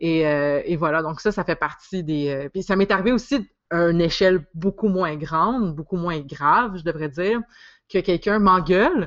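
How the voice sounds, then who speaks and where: In a normal speaking voice, a woman talks at a moderate pace, her pitch fairly low and varying in an ordinary way. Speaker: podcast host and psychosocial worker. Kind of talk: casual interview conversation.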